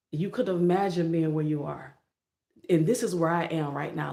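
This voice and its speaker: In an American accent, a woman with a dark, mellow tone and lively intonation speaks amid audible room echo. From Florida. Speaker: motivational YouTuber. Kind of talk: motivational livestream talk. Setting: live stream. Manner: less energetic than usual.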